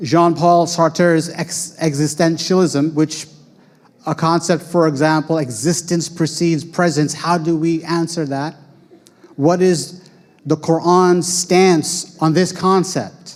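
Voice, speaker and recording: With an American accent, a man talks at a very slow pace in a high pitch and monotone, flat intonation. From United States. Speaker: Islamic school founder and educator. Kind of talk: talk presenting school programs.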